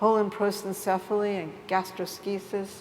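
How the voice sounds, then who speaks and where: Over noticeable background noise, a woman talks at a fairly slow pace and medium pitch. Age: 60s. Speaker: artist and writer. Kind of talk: reading aloud.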